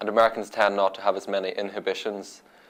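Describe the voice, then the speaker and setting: Speaking in an Irish accent, a man with a fairly low pitch keeps a moderate pace and a monotone, flat intonation. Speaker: international student. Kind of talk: interview.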